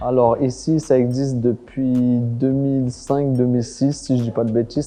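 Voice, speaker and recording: In a flat, monotone delivery, a man talks at a medium pitch. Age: 30s. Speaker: restaurant owner. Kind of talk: interview monologue. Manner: casual, hesitant with fillers.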